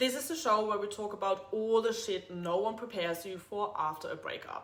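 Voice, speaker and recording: A woman speaks with a German accent at a fairly high pitch. There is audible room echo. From Germany. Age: 30s. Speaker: podcast host, personal trainer. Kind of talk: casual monologue podcast intro. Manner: blunt, straightforward.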